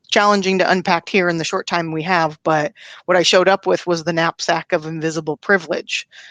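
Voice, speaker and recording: Dry and close with no echo, a woman speaks with a slight Pacific Northwest accent at a fairly low pitch and with fairly even intonation. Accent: mild Pacific Northwest. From US Pacific Northwest, Washington state. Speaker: learning and development professional, event founder. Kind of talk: interview conversation.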